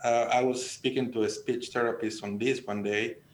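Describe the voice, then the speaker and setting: A man with a Mexican accent talks at a moderate pace in a medium pitch with fairly even intonation. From Sonora, Mexico. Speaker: extension specialist. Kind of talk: radio panel discussion. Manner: halting, many repetitions.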